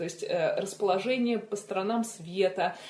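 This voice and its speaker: Medium pitch from a woman, moderate pace, ordinary pitch variation, all over noticeable background noise. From Moscow, Russia. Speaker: children's fantasy author. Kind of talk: casual chat. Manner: animated.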